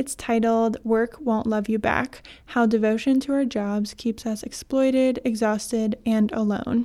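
Against a silent background in a very clean recording, a woman speaks at a fairly slow pace in a fairly high, dark, mellow voice, with monotone, flat intonation and very even loudness. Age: 20s. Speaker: podcast host. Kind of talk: scripted intro; casual interview.

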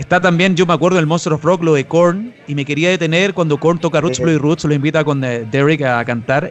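Over noticeable background noise, a man with a Chilean accent and a fairly high pitch talks at a fairly quick pace with hardly any pauses, very even loudness and ordinary pitch variation. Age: 30s. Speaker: podcast host. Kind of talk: interview.

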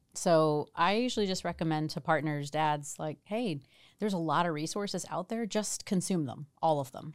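At a moderate pace, a woman with a fairly low pitch speaks in an unremarkable speaking voice. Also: ordinary pitch variation. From New Jersey. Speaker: doctor and professor. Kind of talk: interview.

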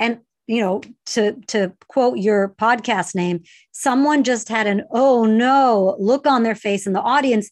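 A woman with a plain, everyday voice talks at a fairly high pitch and a fairly slow pace, with ordinary pitch variation against a quiet background. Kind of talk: casual chat.

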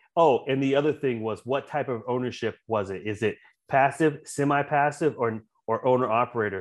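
Over a quiet background, a man with an American accent uses a normal speaking voice at a medium pitch with fairly even intonation. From US South, coastal South Carolina. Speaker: retired Marine officer and franchise owner. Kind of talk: interview chat.

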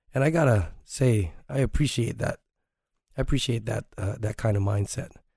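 With a dark, mellow tone that is somewhat breathy, a man speaks at a medium pitch and moderate pace with ordinary pitch variation. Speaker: martial arts instructor and podcast host. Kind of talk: casual monologue.

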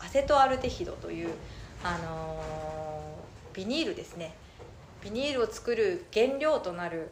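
Room echo can be heard in the clip. The words come at a fairly slow pace. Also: woman, big swings in loudness. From Minamata, Kumamoto, Japan. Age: 30s. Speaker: organic citrus farmer. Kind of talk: interview. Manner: many fillers (えー、えっと).

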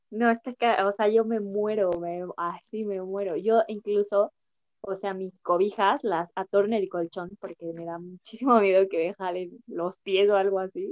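A woman's normal speaking voice at medium pitch, with big swings in loudness, fairly even intonation and a fairly slow pace. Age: 20s. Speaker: podcast host. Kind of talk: casual chat.

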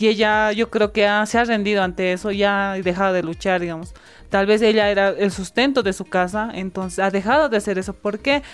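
Quickish and fairly even in intonation, a woman speaks at a medium pitch in an unremarkable speaking voice. The recording is very clean, with a silent background. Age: 20s. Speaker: youth activist. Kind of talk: interview.

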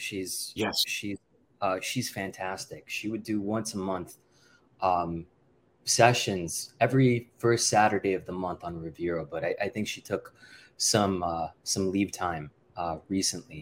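A man's unremarkable speaking voice, fairly low-pitched, at a fairly slow pace with ordinary pitch variation. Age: 30s. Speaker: professor and consumer researcher. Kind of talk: interview.

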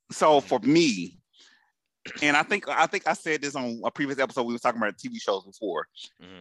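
This man has a fairly high pitch, very wide pitch swings and big swings in loudness, moving at a fairly quick pace. The sound is dry and close with no echo, on a very clean recording with a silent background. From Atlanta, US South. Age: 40s. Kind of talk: casual chat.

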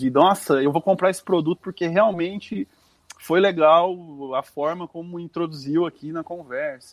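This man's voice is high-pitched, with ordinary pitch variation and a moderate pace. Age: 40s. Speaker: advertising media director. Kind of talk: interview.

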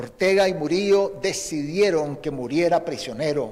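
There is audible room echo around a man's voice. He speaks at a fairly slow pace in a fairly high pitch. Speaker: former guerrilla commander and opposition politician. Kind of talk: prepared eulogy statement. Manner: formal.

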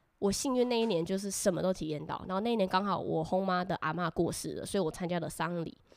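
At a fairly quick clip, a woman in an unremarkable speaking voice talks at a medium pitch that varies in an ordinary way. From Taiwan. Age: 20s. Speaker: former exchange student. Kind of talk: casual chat.

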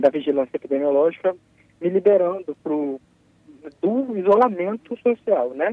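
High pitch for a man, with ordinary variation, at a moderate pace. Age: 30s. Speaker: psychologist, Covid-19 survivor. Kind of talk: live radio interview. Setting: phone call.

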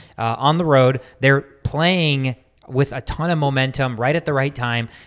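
This man talks at a fairly quick pace. He has a plain, everyday voice. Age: 20s. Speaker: sports podcast host. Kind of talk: casual chat.

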